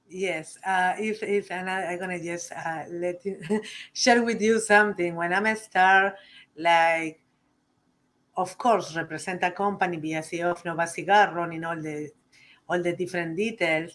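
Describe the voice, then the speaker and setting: A woman with a strong Uruguayan accent, fairly low pitch, fairly even intonation and a moderate pace. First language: Spanish. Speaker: cigar company CEO. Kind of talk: interview.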